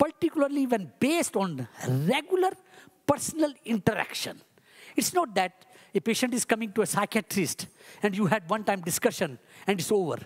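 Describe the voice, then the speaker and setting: A woman with an Indian accent and vocal fry talks at a fairly quick pace in a fairly high voice with very wide pitch swings, sounding dry and close with no echo. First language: Hindi. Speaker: ayurvedic physician. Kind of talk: conference talk. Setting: stage with audience.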